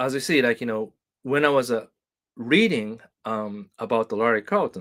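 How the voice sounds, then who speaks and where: A man speaks with a Japanese accent and ordinary pitch variation. The recording is very clean, with a silent background. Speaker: guitar teacher. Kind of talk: live stream chat. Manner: halting, many fillers.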